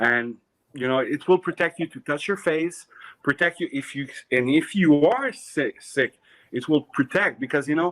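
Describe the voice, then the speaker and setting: With a Quebec French accent, a man talks at a moderate pace and a fairly high pitch with ordinary pitch variation, the sound dry and close with no echo. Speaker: clothing designer. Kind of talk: casual chat. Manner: halting.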